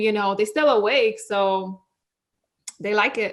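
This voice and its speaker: This woman, with a non-native accent, speaks at a fairly high pitch. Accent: foreign. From Israel, Russian immigrant parents. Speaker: cosmetic surgery clinic worker. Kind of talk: podcast interview. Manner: casual, swears.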